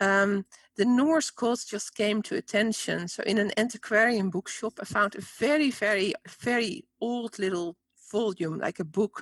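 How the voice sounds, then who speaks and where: A woman speaks with a Dutch accent at a moderate pace, her medium pitch showing ordinary variation. The sound is dry and close, with no echo. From Netherlands. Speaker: spiritual teacher and author. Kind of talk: interview.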